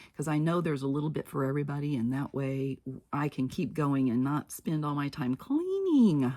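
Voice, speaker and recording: A woman speaks fairly quickly in a very deep, low voice with lively intonation. The recording is very clean, with a silent background. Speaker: crafting YouTuber. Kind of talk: casual tutorial.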